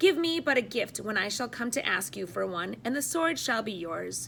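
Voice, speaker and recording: Using a put-on character voice, a woman speaks at a fairly high pitch and a moderate pace over clear background noise. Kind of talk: classroom read-aloud of legend. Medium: read story. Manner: formal, archaic, unhurried.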